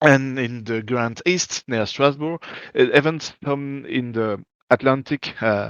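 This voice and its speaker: A man speaks at a very slow pace in a French accent. His pitch is medium, with ordinary pitch variation. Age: 30s. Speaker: gaming community organizer. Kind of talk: interview. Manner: halting, searching for words.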